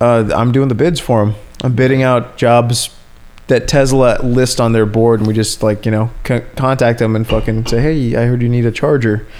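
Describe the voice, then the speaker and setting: A man with a normal speaking voice, moderate pace and very even loudness. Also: medium pitch for a man, fairly even intonation. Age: 30s. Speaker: podcast host. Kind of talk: casual chat. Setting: at home on a couch.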